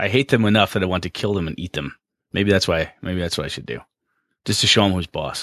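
Very fast speech with vocal fry and ordinary pitch variation sits in a dry, close sound with no echo on a very clean recording with a silent background. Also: man, very deep, low pitch for a man. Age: 40s. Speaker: tabletop RPG podcast co-host. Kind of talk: casual chat.

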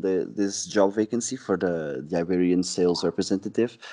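A man speaks with a Portuguese accent at a moderate pace, his tone dark and mellow. His pitch varies in an ordinary way against a quiet background. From Portugal, Sesimbra. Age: 20s. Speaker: sales representative. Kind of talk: casual interview.

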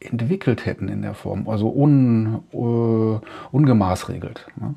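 This man has a dark, mellow tone and a medium pitch with ordinary pitch variation. He speaks at a very slow pace. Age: 50s. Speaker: podcast host. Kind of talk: solo monologue. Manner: halting, with frequent fillers.

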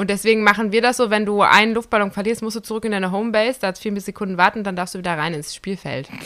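A woman talks at a very fast pace with hardly any pauses. Her pitch is medium. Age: 30s. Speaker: podcast co-host. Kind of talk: casual chat. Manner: animated.

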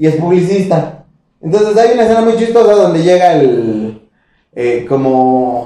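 The voice comes in a Mexican accent with audible room echo. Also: man. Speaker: podcast co-host. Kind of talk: casual chat.

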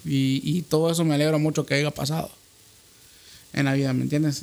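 Fairly high in pitch, this man has an unremarkable speaking voice. His intonation stays fairly even. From Honduras. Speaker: podcast host. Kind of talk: casual chat.

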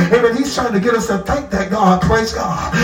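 Noticeable background noise sits behind a man at a moderate pace. His pitch is high and his intonation fairly even. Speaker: pastor. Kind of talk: sermon. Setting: church. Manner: punctuates nearly every phrase with 'amen' and 'praise God'; call-and-response preaching, restating scripture with rising fervor.

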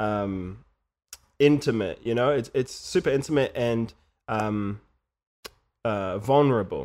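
In a New Zealand accent, the speaker goes at a fairly slow pace with long, frequent pauses and ordinary pitch variation. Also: man, medium pitch for a man. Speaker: musician and podcast sound editor. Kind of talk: casual chat. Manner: halting, many fillers and repeats.

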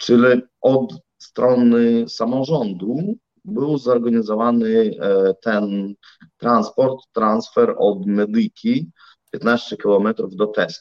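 A man with a Russian accent speaks very slowly at medium pitch with ordinary pitch variation. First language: Russian (speaking Polish). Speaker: civic activist and entrepreneur. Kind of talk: interview.

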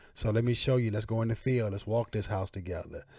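A man talks at a very fast pace, somewhat breathy, with a medium pitch and fairly even intonation. The recording is very clean, with a silent background. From Atlanta area, Georgia. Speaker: real estate investor and mentor. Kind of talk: podcast interview.

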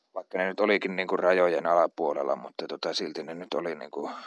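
A man at a moderate pace, recorded dry and close with no echo. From Central Finland (Uurainen, near Jyväskylä). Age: 30s. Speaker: aspiring politician. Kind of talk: personal monologue. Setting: outdoors in yard. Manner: halting, many fillers.

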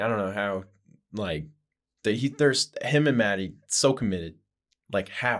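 A man with an American accent at a medium pitch and moderate pace, his intonation lively, on a very clean recording with a silent background. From New Mexico, then Idaho. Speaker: podcast guest. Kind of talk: casual chat.

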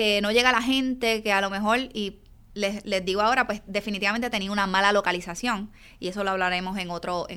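Very clean with a silent background, the recording has a woman speaking very fast in a Puerto Rican accent, her medium-pitched voice animated, with a bright, sharp tone. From Puerto Rico, Yabucoa. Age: 40s. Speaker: chiropractor and business coach. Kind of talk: solo podcast monologue.

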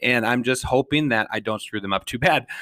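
Bright and sharp in tone, the voice moves at a fairly quick pace with fairly even intonation and an Upper Midwest accent. The recording is very clean and dry, close, with no echo and a silent background. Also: man. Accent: Upper Midwest American. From Minnesota, St. Paul. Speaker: podcast host. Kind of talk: solo podcast monologue.

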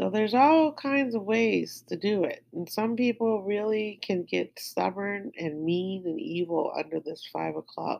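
Speaking at a fairly slow pace, a woman with an American accent has a medium pitch. Her voice moves in very wide pitch swings. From outside the US. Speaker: astrology podcaster. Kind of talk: daily astrology forecast and meditation talk. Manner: casual.

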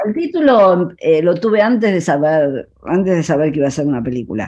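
A woman speaks with a dark, mellow tone at a fairly low pitch, her voice swinging very widely up and down. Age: 60s. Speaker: photographer and filmmaker. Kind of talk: radio interview. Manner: halting.

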